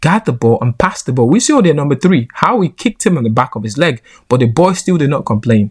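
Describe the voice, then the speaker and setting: A man with a Nigerian accent speaks at a fairly quick pace in a fairly high pitch, with very wide pitch swings. His tone is animated, and the sound is dry and close with no echo. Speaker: football commentator. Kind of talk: opinion commentary.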